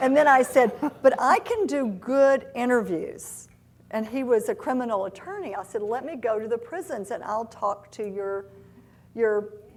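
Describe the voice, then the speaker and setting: Speaking at a moderate pace with a Southern US accent, a woman uses a high pitch and big swings in loudness. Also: lively intonation. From US South, Oxford, Mississippi. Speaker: tech company CEO. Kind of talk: live interview on stage. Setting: stage with audience.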